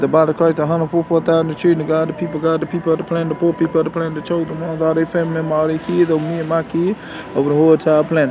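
A man talks at a very fast pace, the sound dry with no echo and noticeable background noise behind him. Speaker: religious vlogger. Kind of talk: prayer and casual vlog talk. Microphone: phone near.

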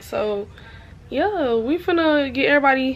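A woman's voice comes through with noticeable background noise. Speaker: vlogger. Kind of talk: casual vlog chat. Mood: relaxed, playful. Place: home room. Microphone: phone near.

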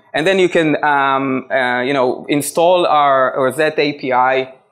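At a fairly slow pace, a man with a medium pitch speaks in a clear, smooth, fairly bright tone with ordinary pitch variation.

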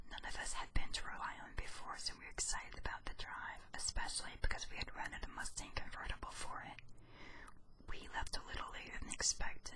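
Someone is whispering. The pace is fairly quick. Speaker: YouTuber. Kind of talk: ASMR whisper reading of ghost stories. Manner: whispered.

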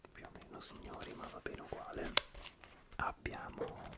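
A man speaks at an even, moderate speed while loud noise fills the background. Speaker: ASMR creator. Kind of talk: soft-spoken ASMR chat. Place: home room. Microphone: studio mic.

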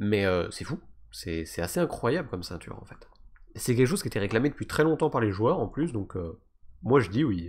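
With very wide swings in pitch, a man speaks rather quickly. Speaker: video game youtuber. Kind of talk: tutorial. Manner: fast.

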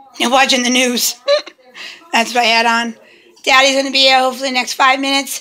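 Noticeable background noise surrounds a woman's voice. She talks high-pitched, loud and projected. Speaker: family vlogger. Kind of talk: casual vlog. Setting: at home.

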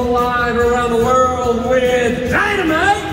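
Loud background noise and audible room echo surround speech at a fairly slow pace. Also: man. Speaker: ring announcer. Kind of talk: live wrestling ring announcement to a crowd. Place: stadium.

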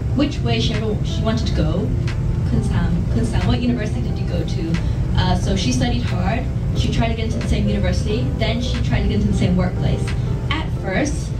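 Loud background noise fills the recording. Over it, a woman talks at a fairly quick pace. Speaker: actress at press event. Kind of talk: interview answer. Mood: relaxed, laughing at times. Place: hall.

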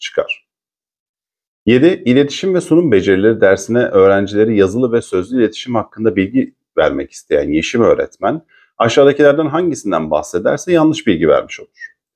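Against a quiet background, a man talks at a fairly quick pace, his pitch swinging very widely. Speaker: teacher / exam-prep YouTuber; teacher, exam-prep YouTuber. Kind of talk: tutorial reading and solving exam questions. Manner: fast-paced. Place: home room. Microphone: webcam.

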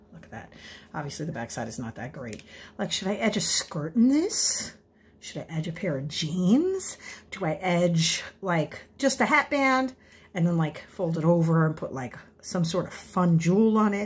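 A woman's fairly low, somewhat breathy voice at a moderate pace. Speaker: amateur crafter vlogger. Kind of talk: casual vlog chat. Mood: playful, self-deprecating. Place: kitchen. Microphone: phone near.

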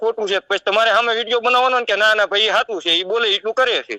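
A high-pitched man raises and projects his voice, bright and sharp in tone. The sound is dry and close, with no echo. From Gujarat, Surendranagar district. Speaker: folk religious medium. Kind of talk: heated phone argument.

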